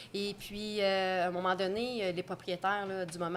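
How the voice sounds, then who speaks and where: Monotone, flat intonation marks this speech, delivered at a moderate pace. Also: woman. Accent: Quebec. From Quebec, Trois-Rivières. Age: 40s. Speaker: restaurant owner. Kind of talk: interview. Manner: casual, hesitant with fillers.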